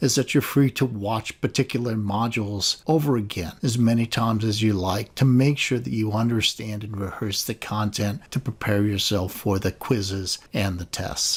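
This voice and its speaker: A man speaks in a somewhat breathy voice. He hardly pauses at all. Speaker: philosophy professor. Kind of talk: recorded lecture orientation.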